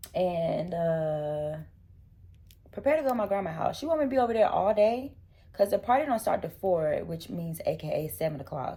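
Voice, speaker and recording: A woman speaks with a dark, mellow tone and very wide pitch swings. Her voice is somewhat breathy. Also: medium pitch for a woman, moderate pace. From US South. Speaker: lifestyle vlogger. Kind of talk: casual vlog talk. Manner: whispering in public.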